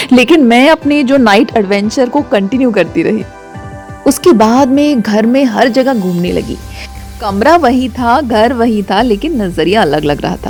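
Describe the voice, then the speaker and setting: A woman with a fairly high pitch and lively intonation, music playing in the background. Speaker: radio jockey / storyteller. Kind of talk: radio storytelling, first-person narration with sound effects. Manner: expressive, animated, conversational.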